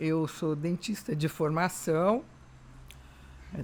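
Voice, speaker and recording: A woman speaks very slowly in a very deep, low voice. Her pitch varies in an ordinary way. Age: 70s. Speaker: retired dentist, podcast guest. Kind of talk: interview conversation.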